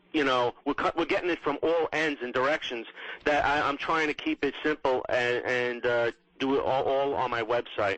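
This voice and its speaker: With a New York accent, a man speaks at a fairly high pitch, keeping fairly even intonation and very even loudness. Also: moderate pace. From New York, Queens. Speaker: political blogger and podcaster. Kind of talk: radio interview.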